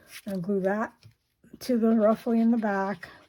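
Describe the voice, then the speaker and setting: A somewhat breathy voice with a dark, mellow tone moves at a fairly slow pace on a very clean recording with a silent background. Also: woman. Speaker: paper craft demonstrator. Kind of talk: tutorial. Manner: casual, conversational.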